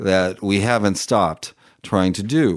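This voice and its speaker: A man with an ordinary speaking voice at a fairly slow pace, in a very clean recording with a silent background. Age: 50s. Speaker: author and attorney. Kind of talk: interview. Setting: studio.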